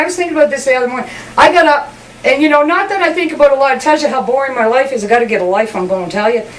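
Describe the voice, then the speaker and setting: Amid noticeable background noise and audible room echo, a woman with a Newfoundland accent talks very fast at a high pitch with lively intonation. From Newfoundland, Canada. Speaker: comedian. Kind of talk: comedic monologue.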